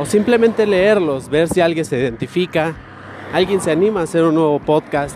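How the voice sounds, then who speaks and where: Noticeable background noise accompanies a man speaking at a moderate pace in a high voice. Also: ordinary pitch variation. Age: 20s. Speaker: podcaster. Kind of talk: casual monologue. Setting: outdoors, walking.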